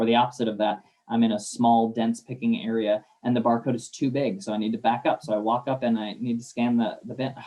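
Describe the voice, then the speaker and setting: At a very fast pace, a man speaks at medium pitch. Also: fairly even intonation. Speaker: warehouse systems consultant. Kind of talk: webinar presentation. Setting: online webinar.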